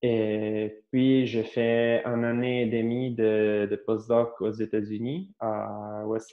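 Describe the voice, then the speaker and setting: Fairly even intonation marks this man's delivery, which sits at a medium pitch. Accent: Italian. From Italy (Carpi, Emilia-Romagna). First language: Italian (speaking French). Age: 30s. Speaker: astrophysics researcher. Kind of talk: interview. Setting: remote video call. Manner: halting, many repetitions and hesitations.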